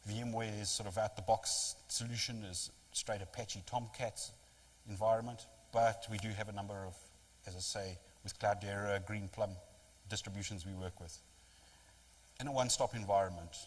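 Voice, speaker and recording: Somewhat breathy and fairly low in pitch, the man keeps a fairly even intonation, takes long, frequent pauses and has big swings in loudness. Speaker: technology vendor presenter. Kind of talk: lecture. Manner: fast.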